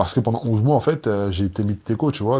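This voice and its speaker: Against a very clean, silent background, a man talks at fairly low pitch with ordinary pitch variation. He has an ordinary speaking voice. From Guadeloupe. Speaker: basketball player. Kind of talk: casual chat.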